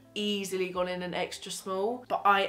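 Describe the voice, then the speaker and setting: A woman in a flat monotone. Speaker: fashion vlogger. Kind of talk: casual try-on haul chat. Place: home room. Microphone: camera far.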